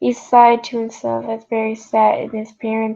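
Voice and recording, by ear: The clip features reading aloud in a natural voice. Nothing else is notable.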